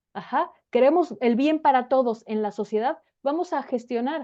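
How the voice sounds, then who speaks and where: Ordinary pitch variation from a woman's high voice, moving at a moderate pace. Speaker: political scientist. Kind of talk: interview.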